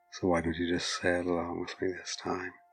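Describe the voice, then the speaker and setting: Music runs in the background behind a man's voice. His tone is soothing. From British or Irish. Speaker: hypnotist. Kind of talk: hypnosis induction. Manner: slow, soothing.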